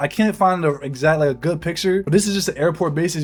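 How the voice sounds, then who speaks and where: A man with a fairly high voice and ordinary pitch variation, talking at a very fast pace over noticeable background noise. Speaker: Air Force member vlogging about basic training. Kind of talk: casual vlog storytelling. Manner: animated.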